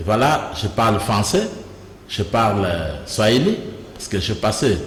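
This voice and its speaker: Amid noticeable background noise and audible room echo, a man talks at a fairly slow pace with medium pitch and lively intonation. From DR Congo, Kasai (Mweka). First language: Kuba (Chikuba) (speaking French). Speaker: provincial politician. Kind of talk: interview.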